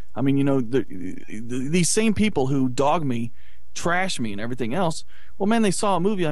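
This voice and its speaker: Against noticeable background noise, a man with a fairly high pitch talks at a moderate pace with lively intonation. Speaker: film producer and internet radio station owner. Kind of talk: casual chat.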